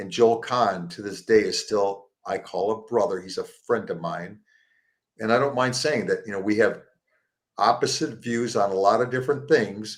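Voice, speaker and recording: A man speaks in an ordinary speaking voice at medium pitch and a moderate pace. His pitch varies in the usual way, and the recording is very clean with a silent background. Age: 60s. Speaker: plant-based support group founder. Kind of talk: interview. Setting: live show.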